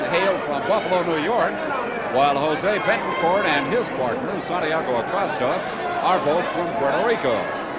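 Speech at a moderate pace under loud background noise. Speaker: wrestling commentator. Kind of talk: live commentary on a wrestling match.

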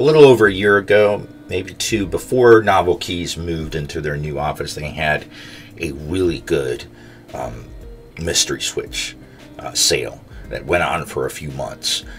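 A man's voice with big swings in loudness over faint background music. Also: moderate pace. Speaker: keyboard switch reviewer. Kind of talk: casual vlog chat. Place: home room.

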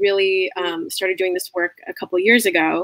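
In a dry recording with no echo, a woman talks at a moderate pace with a medium pitch and ordinary pitch variation. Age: 20s. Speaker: musical theater student; guest. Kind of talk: interview conversation. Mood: earnest, reflective. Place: home room.

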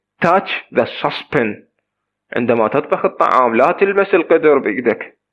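A man with a fairly high voice and an Iraqi accent, his intonation lively. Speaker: English teacher. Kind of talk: lesson.

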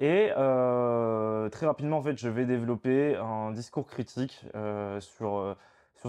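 A man talks in a dark, mellow tone, his pitch varying in an ordinary way. All is quiet behind him. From Provence, France (partly raised in Spain). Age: 20s. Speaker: political activist spokesperson. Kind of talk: interview. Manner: hesitant, many fillers and repetitions. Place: home room. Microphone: lapel.

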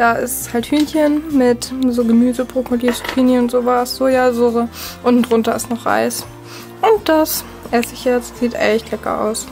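Over clear music in the background, a woman speaks at a moderate pace with a high pitch. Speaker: food diary vlogger. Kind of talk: casual vlog chat. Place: home room. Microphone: phone near.

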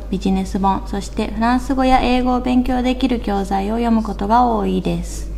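Noticeable background noise is present. A woman speaks at a moderate pace. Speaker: mother living abroad. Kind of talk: narration. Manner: flat, monotone.

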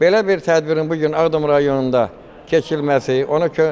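A man's pitch varies in an ordinary way as he talks at a moderate pace. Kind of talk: formal press statement. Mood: grateful, formal. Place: hall. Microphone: handheld.

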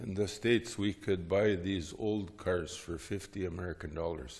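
A man with a fairly low, somewhat breathy voice talks at a very slow pace. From North Dakota, US. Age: 60s. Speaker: Lutheran theologian and teacher; teacher. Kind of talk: lecture. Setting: stage with audience. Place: church.

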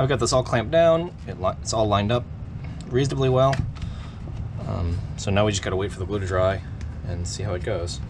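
A man with a fairly low pitch talks at a very fast pace against noticeable background noise. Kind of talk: tutorial. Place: workshop. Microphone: camera far.

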